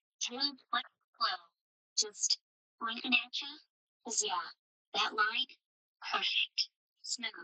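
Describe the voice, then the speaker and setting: In a put-on character voice, a female-sounding speaker uses a fairly high pitch at a fairly slow pace with long, frequent pauses. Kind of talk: cozy stream companion. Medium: virtual streamer. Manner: soft, clipped, fragmented phrases.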